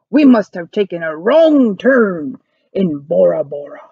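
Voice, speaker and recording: A woman growls in a put-on character voice with a fairly high pitch. She speaks at a fairly slow pace. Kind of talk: pirate speech. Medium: read story. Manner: loud, bellowing.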